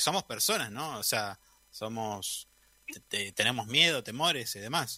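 With a normal speaking voice, a man speaks at medium pitch using lively intonation. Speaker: radio host. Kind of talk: radio interview.

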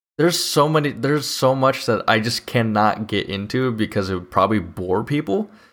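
In a very clean recording with a silent background, a man with an unremarkable speaking voice and medium pitch talks fairly quickly with lively intonation and hardly any pauses. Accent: American. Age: 20s. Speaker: podcast host, engineering student. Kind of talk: casual chat. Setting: livestream studio.

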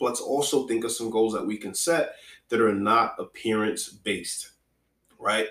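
A man talks at a moderate pace. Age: 30s. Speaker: fitness podcast host. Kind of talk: solo podcast talk. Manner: conversational, repetitive fillers.

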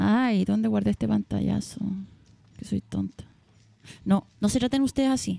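In a Chilean accent, the speaker leaves long, frequent pauses. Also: woman, moderate pace, dry, close sound with no echo. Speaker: podcast host. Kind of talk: casual chat.

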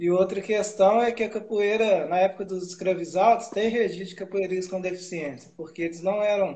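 A man speaks at a fairly quick pace, his high voice carrying a dark, mellow tone. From Minas Gerais, Brazil (Ubá). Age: 30s. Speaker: capoeira practitioner living with Parkinson's. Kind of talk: interview on a live stream.

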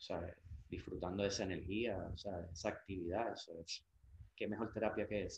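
The man's voice is somewhat breathy. His intonation stays monotone and flat. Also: fairly quick pace. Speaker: surfer and surf brand sales representative. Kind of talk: interview. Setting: at his home.

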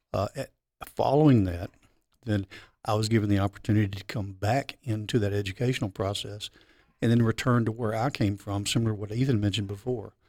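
A man with a Memphis accent speaks at a very fast pace, fairly low in pitch and with fairly even intonation. The sound is dry and close with no echo, on a very clean recording with a silent background. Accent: Southern US (Memphis). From Memphis, Tennessee. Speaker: high school mechatronics teacher. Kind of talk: interview podcast.

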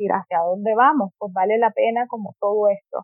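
A woman talks at a fairly slow pace with a fairly high pitch. Her pitch varies in an ordinary way. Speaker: economist and human rights activist. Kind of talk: interview conversation.

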